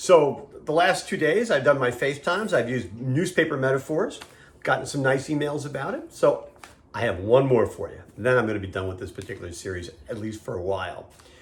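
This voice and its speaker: At a fairly quick pace, a man with a medium pitch and a somewhat breathy voice makes very wide pitch swings and big swings in loudness. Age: 60s. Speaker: business commentator. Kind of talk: casual video monologue. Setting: video call. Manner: conversational.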